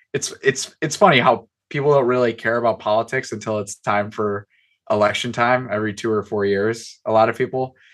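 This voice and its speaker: A man with an American accent speaks at a fairly quick pace, his pitch medium and his intonation fairly even. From Chicago suburbs, US Midwest. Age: 20s. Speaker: author. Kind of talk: casual interview.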